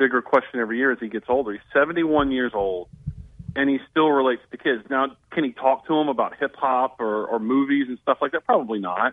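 This man speaks fairly quickly with a Southern US accent, his medium pitch showing ordinary variation. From northern Alabama. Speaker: sports journalist. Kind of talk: radio interview.

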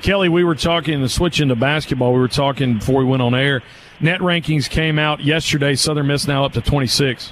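Over noticeable background noise, a man speaks at a very fast pace in a fairly high pitch with very even loudness and fairly even intonation. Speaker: radio host. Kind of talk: live radio sports talk show. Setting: studio.

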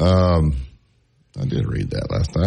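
A man with a Southern US accent talks at a fairly slow pace. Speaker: sports radio host. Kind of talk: sports talk radio. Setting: studio.

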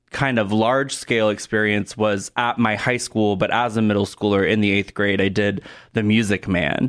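A man with an American accent and an unremarkable speaking voice talks at a fairly low pitch and moderate pace, with fairly even intonation and very even loudness, on a very clean recording with a silent background. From Oregon, US Pacific Northwest. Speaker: theatre director. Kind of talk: radio interview. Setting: studio.

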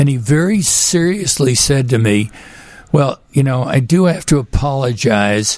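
With noticeable background noise behind him, a man with an American accent talks at a fairly slow pace, his fairly high pitch carrying lively intonation. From Texas, Houston. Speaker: physician and author. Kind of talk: radio interview. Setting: studio.

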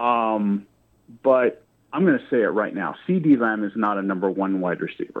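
This man has an unremarkable speaking voice at a medium pitch. His intonation is lively and his pace moderate. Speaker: caller. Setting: phone call.

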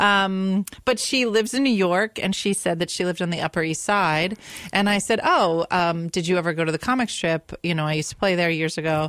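In a normal speaking voice, a woman at a medium pitch talks at a fairly quick pace with ordinary pitch variation and hardly any pauses. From US, Italian-American family. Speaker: stand-up comedian. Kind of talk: casual chat. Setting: studio.

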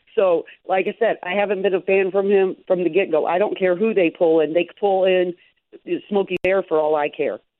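This woman has an ordinary speaking voice, medium in pitch, and talks at a moderate pace in an American accent. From Chicago area. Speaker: sports fan caller. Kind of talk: call-in radio chat.

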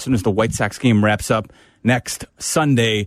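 Here is a man with an unremarkable speaking voice, medium in pitch with ordinary pitch variation, at a fairly slow pace. The sound is dry and close with no echo, and the background is quiet. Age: 40s. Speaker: sports radio host. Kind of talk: radio talk show.

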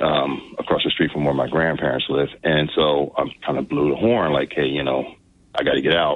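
This man has a very deep, low pitch and an American accent. He keeps fairly even intonation at a moderate pace. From New Jersey, US. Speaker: congressional candidate. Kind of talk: radio interview.

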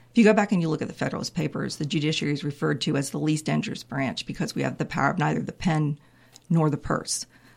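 A woman with an American accent speaks very fast in a very deep, low voice with vocal fry. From North Carolina (Raleigh, Wake County). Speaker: state supreme court justice. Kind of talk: interview.

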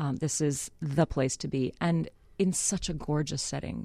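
A woman with a very deep, low pitch and a dark, mellow tone speaks with vocal fry and ordinary pitch variation, on a very clean recording with a silent background. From Canada, Winnipeg. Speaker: opera singer. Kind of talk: casual chat. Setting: studio.

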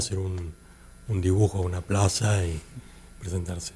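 A man with a Rioplatense accent, very deep and low in pitch, at a fairly quick pace. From Argentina, Buenos Aires. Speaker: artist and advertising creative. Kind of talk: interview. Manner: halting, many repetitions and fillers.

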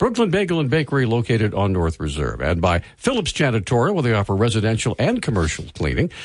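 A man's medium-pitched voice with vocal fry, very wide pitch swings and a fairly quick pace, against a quiet background. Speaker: radio host. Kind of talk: live radio talk show with callers. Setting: radio studio.

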